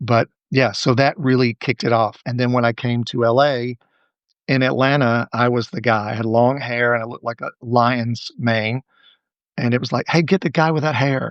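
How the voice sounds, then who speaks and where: A man with an American accent speaks at a medium pitch and a moderate pace. His intonation stays fairly even. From US South, Alabama. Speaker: director and choreographer. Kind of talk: interview.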